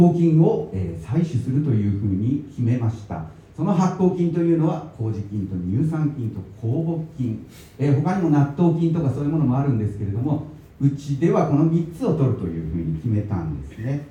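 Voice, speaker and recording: This man's fairly high voice moves through very wide pitch swings at a moderate pace. Audible room echo surrounds it. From Tokyo (Higashiyamato). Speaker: baker and author. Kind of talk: talk at a book event. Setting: event venue with live audience.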